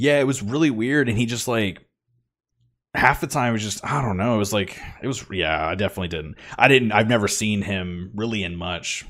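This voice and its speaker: A man with an ordinary speaking voice at a fairly quick pace. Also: fairly low pitch for a man, lively intonation. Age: 20s. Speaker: podcast host. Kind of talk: casual chat.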